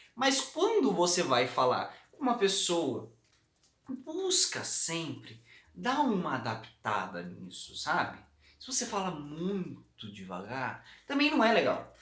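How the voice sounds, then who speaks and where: A man at a very slow pace, big swings in loudness, audible room echo around him. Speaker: communication coach. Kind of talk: tutorial.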